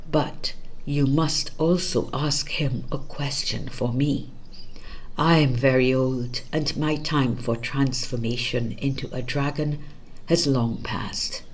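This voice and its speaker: Over clear background noise, a hissing put-on character voice at a low-to-middle pitch speaks at a fairly slow pace. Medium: read story.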